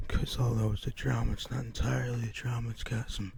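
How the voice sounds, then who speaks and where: Soft-spoken delivery at a fairly quick pace over noticeable background noise. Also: man. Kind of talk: ASMR haul video, casual talk to camera.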